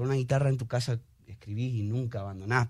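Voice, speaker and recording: Recorded very cleanly against a silent background, a man talks at a very fast pace in a somewhat breathy voice. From Argentina. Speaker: singer, musician. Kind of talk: interview.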